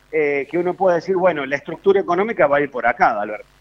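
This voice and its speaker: The pitch of this man's voice is high. It shifts up and down in an ordinary way. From Córdoba, Argentina. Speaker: foreign trade specialist. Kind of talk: casual chat.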